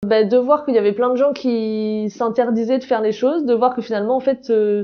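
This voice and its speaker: This woman speaks at a fairly quick pace. Her pitch is fairly high and her intonation fairly even. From southern France. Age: 30s. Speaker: founder of an accessibility project, wheelchair user. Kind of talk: interview testimony. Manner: hesitant, many fillers.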